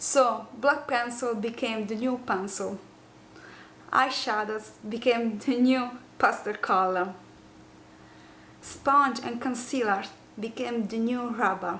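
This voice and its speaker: In an Italian accent, a woman talks at a very slow pace with long, frequent pauses, and audible room echo surrounds her. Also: fairly high pitch for a woman, fairly even intonation. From southern Italy, Apulia. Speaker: makeup youtuber. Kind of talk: tutorial. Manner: halting.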